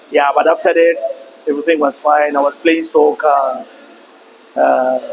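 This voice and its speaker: A man keeps his loudness very even at a moderate pace while noticeable background noise runs underneath. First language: Sesotho. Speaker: podcast guest. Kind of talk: interview.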